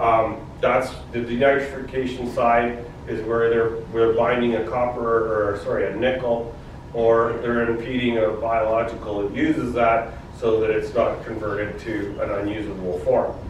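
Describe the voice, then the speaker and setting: With a Canadian prairie accent, a man speaks at a moderate pace in a monotone, flat intonation. Audible room echo and light background noise are present. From Saskatchewan, Canada. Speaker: agricultural product sales representative; presenter. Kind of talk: product presentation. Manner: casual with many fillers. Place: meeting room.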